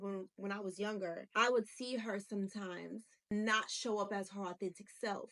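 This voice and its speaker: Loud and bright with a sharp tone, a woman talks in a fairly high pitch at a moderate pace. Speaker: self-help podcaster. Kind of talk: motivational talk to camera.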